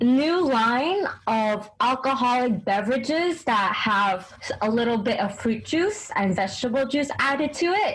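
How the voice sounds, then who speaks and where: Speaking at a fairly slow pace in a New York accent, a woman with a high pitch uses very wide pitch swings and very even loudness, with audible room echo and noticeable background noise. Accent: New York American English. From US, New York City. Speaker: English teaching assistant. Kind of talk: casual chat. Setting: video call between Japan and America.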